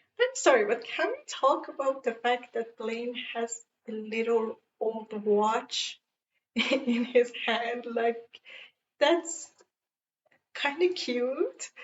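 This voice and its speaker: Speaking with a non-native accent, a woman talks at a very slow pace in a high voice, with ordinary pitch variation and long, frequent pauses. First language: not English. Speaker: fan reviewer. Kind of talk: casual talk to camera. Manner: enthusiastic.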